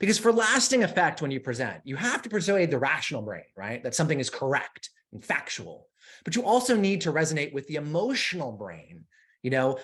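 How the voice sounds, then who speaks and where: This man has an American accent and a fairly high pitch, talking at a fairly quick pace. His pitch swings very widely, with vocal fry throughout. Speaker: conference presenter, university technology officer. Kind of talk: conference presentation. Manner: fast.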